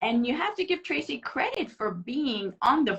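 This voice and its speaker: A woman, high in pitch, with very wide pitch swings at a moderate pace. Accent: Iranian. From Iran. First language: Farsi. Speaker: interview guest. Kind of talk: casual interview chat.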